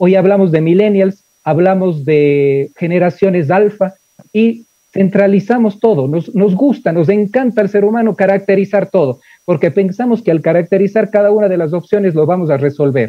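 Against a quiet background, a man speaks at a high pitch with ordinary pitch variation and very even loudness, the sound dry with no echo. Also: moderate pace. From Ecuador. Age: 40s. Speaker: engineering professor. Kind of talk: lecture. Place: office. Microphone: video call.

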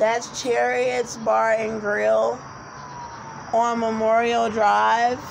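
A woman's voice shows ordinary pitch variation over noticeable background noise. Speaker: vlogger. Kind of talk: casual vlog chat. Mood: agitated, earnest. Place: street. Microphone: phone near.

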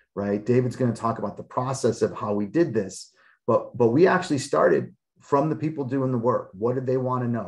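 A man with an American accent and an ordinary speaking voice, medium in pitch, lively in intonation and fairly quick in pace. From Chicago. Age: 40s. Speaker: sociology professor. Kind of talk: webinar panel discussion.

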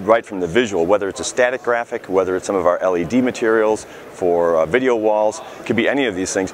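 A man speaks in an ordinary speaking voice, fairly low in pitch with ordinary pitch variation. The pace is fairly quick, the sound is dry with no echo, and light background noise is present. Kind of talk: interview answer. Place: hall. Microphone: lapel.

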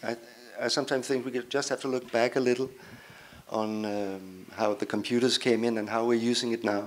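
A man's medium-pitched, monotone, flat delivery at a moderate pace, with light background noise. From Denmark. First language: Danish (speaking Italian). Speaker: cartoonist; speaker. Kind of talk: panel discussion. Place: hall. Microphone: handheld.

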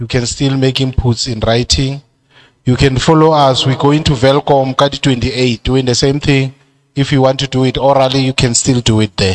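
A man speaks with a Lesotho accent in a monotone, flat intonation. The background is quiet. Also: moderate pace. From South Africa (Free State). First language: Sesotho. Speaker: committee chairperson. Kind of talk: chairing a public hearing. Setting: community hall public hearing. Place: hall. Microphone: handheld.

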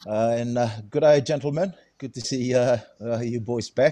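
This man talks at a very slow pace. His pitch varies in an ordinary way. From Fiji. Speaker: rugby head coach. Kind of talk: casual chat. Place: home room. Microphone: video call.

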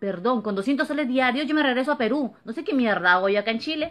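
With an animated tone and lively intonation, a woman talks at a fairly quick pace in a high pitch. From Peru, Lima (San Juan de Lurigancho); Peru. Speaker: vlogger. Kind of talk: opinion monologue to camera. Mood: indignant, complaining. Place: home room. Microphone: phone near.

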